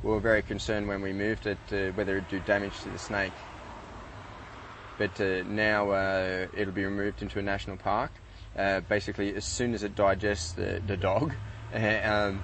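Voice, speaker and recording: A man's ordinary speaking voice, fairly low in pitch, with fairly even intonation at a moderate pace, dry with no echo, over light background noise. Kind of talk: interview answer. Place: street. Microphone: lapel.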